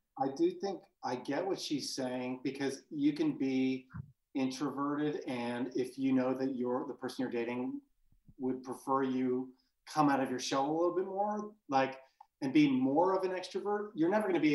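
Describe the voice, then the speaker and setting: A man's fairly high voice, an ordinary speaking voice, at a moderate pace with ordinary pitch variation. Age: 30s. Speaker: podcast co-host. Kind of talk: casual chat.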